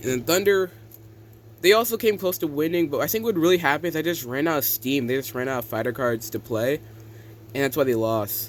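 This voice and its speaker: A man talks very fast at a fairly high pitch, his voice swinging very widely up and down. Noticeable background noise runs beneath him. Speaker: game designer and YouTuber. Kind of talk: casual gameplay commentary.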